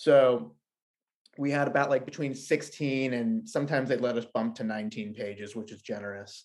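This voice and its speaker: In a plain, everyday voice, a man at medium pitch talks at a moderate pace with ordinary pitch variation and big swings in loudness, against a quiet background. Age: 30s. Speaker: comic book writer. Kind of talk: casual interview.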